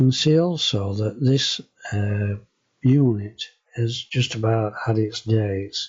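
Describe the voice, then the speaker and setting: A man with a medium-pitched voice speaks in a Yorkshire accent. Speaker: home renovation vlogger. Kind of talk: casual video walkthrough. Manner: halting, hesitant.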